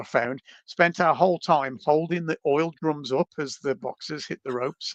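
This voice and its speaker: Against a quiet background, a man with a fairly high pitch talks at a moderate pace with fairly even intonation. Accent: Birmingham. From England, Birmingham. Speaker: reptile enthusiast, herping traveller. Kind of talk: storytelling in podcast conversation.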